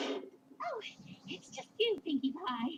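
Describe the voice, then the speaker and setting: A put-on character voice that sounds female is pitched high for a woman. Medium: read story. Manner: elegant, dramatic.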